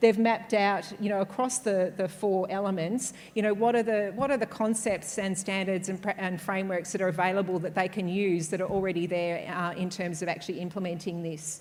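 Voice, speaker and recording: There is audible room echo as a woman talks at a fairly quick pace. Her medium-pitched voice keeps fairly even intonation. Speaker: conference speaker. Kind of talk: conference presentation. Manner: fast; hesitant, many fillers.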